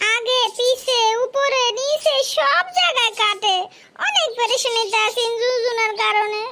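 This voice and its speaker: This is a cartoonish character voice with an extremely high pitch. It moves at a fairly slow pace. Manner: insistent, whiny.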